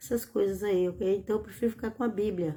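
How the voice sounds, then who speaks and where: The voice is somewhat breathy, with a dark, mellow tone. Its pitch varies an ordinary amount. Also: woman. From Bahia, Brazil (rural), moved to São Paulo at 15. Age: 60s. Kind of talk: religious teaching livestream. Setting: live stream. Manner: informal, repetitive with hesitations.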